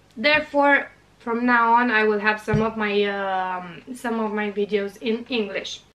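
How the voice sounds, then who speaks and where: With a Romanian accent, a woman talks at a fairly slow pace with ordinary pitch variation. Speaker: craft YouTuber. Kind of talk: tutorial. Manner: halting, frequent uh fillers.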